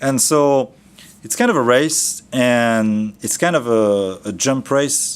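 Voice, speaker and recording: His voice, in a French accent, moves through very wide pitch swings as this man speaks. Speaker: trainer. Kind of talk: training lecture. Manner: casual, conversational.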